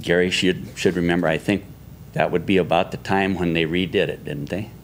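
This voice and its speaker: A man in an Upper Midwest accent, very deep and low in pitch, at a fairly quick pace with fairly even intonation. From Yankton, South Dakota. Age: 70s. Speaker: citizen speaking at public comment. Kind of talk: public comment.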